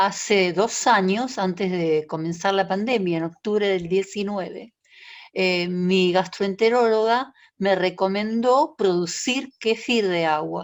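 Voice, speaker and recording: A woman talks at a very slow pace and medium pitch. Her loudness stays very even, with ordinary pitch variation. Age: 70s. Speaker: patient with multiple sclerosis. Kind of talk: audience question, testimony.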